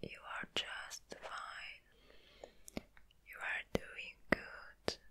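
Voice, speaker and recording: A woman is whispering at a very slow pace. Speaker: ASMR creator. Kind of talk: ASMR roleplay, comforting personal attention with positive affirmations. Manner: soft, gentle, comforting. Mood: caring, reassuring. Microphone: studio mic.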